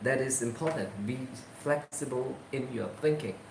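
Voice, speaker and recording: A man at medium pitch with ordinary pitch variation, amid noticeable background noise and audible room echo. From Myanmar, Shan State. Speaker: vlogger and volunteer English teacher. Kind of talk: casual reading aloud with commentary. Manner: halting, with many fillers.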